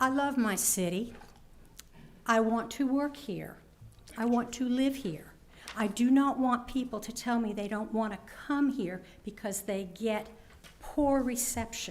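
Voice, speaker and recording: A woman speaks at a fairly slow pace with long, frequent pauses and ordinary pitch variation. Her fairly high voice carries audible room echo. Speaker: resident speaking at public comment, former city councilwoman. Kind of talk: public comment at a council meeting. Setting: city council chamber. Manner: loud.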